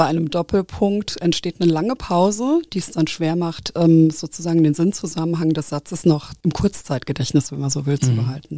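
A woman's fairly low voice with a dark, mellow tone, at a moderate pace with hardly any pauses, in a dry, close, very clean recording with no echo and a silent background. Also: ordinary pitch variation. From Nahe valley, Rhineland-Palatinate, Germany. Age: 40s. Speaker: university equal opportunities officer and linguist. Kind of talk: interview. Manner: hesitant with fillers.

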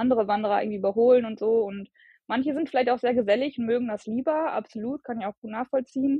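It's a plain, everyday voice, a woman's, with a fairly high pitch. She speaks at a fairly quick pace with fairly even intonation. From Germany, Bielefeld. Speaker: long-distance hiker. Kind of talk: interview.

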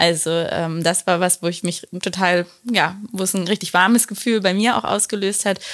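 A woman's plain, everyday voice at medium pitch and a moderate pace, with ordinary pitch variation. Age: 30s. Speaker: relationship coach. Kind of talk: casual interview.

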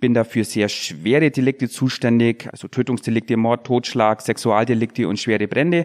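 Here is a normal speaking voice at a moderate pace, with ordinary pitch variation. The background is quiet, and the sound is dry and close with no echo. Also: man, medium pitch for a man. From Bavarian Swabia (Unterallgäu). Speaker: police detective and local politician. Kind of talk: podcast interview.

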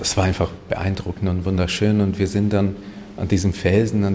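Noticeable background noise sits behind a man speaking at a fairly low pitch with a Hungarian accent. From Hungary, raised in Germany. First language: Hungarian (speaking German). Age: 30s. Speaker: painter and photographer. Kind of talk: interview.

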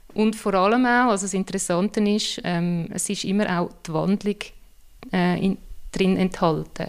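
A woman with a plain, everyday voice speaks in a medium pitch at a moderate pace with fairly even intonation, on a very clean recording with a silent background. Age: 40s. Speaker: I Ching consultant. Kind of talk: interview.

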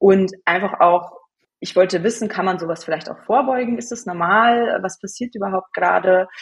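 A woman with a normal speaking voice, medium pitch, ordinary pitch variation, moderate pace and big swings in loudness. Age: 20s. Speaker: hormone and cycle coach. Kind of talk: interview.

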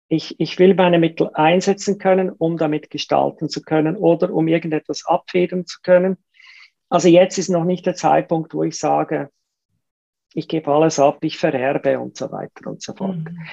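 A woman with a fairly low pitch and a dark, mellow tone speaks at a moderate pace with vocal fry, fairly even intonation, and big swings in loudness, in a dry, close sound with no echo. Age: 50s. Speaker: entrepreneur and investor. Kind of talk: casual interview. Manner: hesitant fillers, repetitions.

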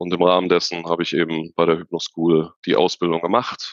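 The man's pitch is very deep and low. He moves at a fairly quick pace. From Germany, Unna (Ruhr area / Sauerland border). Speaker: hypnotherapist, psychotherapy practitioner. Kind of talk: interview conversation.

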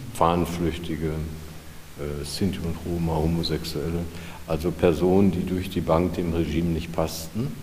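With noticeable background noise and audible room echo, a man with a very deep, low voice speaks in a monotone, flat intonation, leaving long, frequent pauses. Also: moderate pace. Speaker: retired clinic press officer. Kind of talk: guided tour.

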